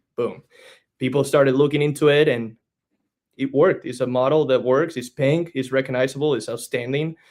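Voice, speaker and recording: Speaking with a Spanish accent, a man delivers his words at a fairly quick pace in a fairly high pitch, his intonation monotone and flat. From Spain. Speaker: franchise business development director. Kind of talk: podcast interview.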